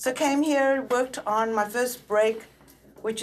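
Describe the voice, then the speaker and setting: Against music in the background, a woman speaks at a fairly quick pace with fairly even intonation. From South Africa. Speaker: film and television editor. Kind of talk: panel discussion.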